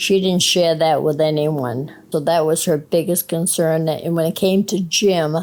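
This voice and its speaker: In a Maine accent, a woman speaks at a fairly slow pace with a fairly low voice and fairly even intonation. She leaves hardly any pauses, and her loudness stays very even. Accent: classic Maine accent, non-rhotic. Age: 70s. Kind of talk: interview answer.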